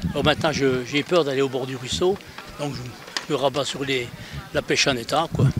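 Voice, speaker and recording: This man's voice sits fairly high, with fairly even intonation and a moderate pace, against noticeable background noise. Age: 70s. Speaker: angler participant. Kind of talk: interview.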